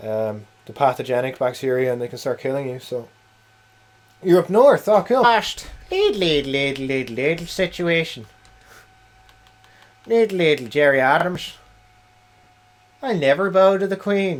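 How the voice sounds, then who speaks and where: A man's fairly high voice with a Dublin accent, moderate pace, long and frequent pauses, very wide pitch swings, and noticeable background noise. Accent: Irish (Dublin area). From Ireland, Wicklow near Dublin. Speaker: video game streamer. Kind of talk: casual live-stream chat.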